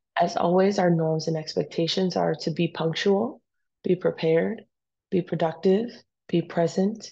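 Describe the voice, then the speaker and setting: A woman speaks with a fairly low pitch and a dark, mellow, somewhat breathy tone. Her pace is moderate, her pitch variation ordinary, and the background quiet. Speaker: high school biology teacher. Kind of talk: recorded class lecture. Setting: pre-recorded for class while absent.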